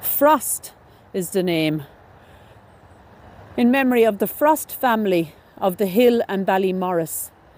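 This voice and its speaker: Her pace fairly slow, a woman talks in a dry sound with no echo. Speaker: graveyard explorer vlogger. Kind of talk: casual vlog commentary. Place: open country. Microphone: phone near.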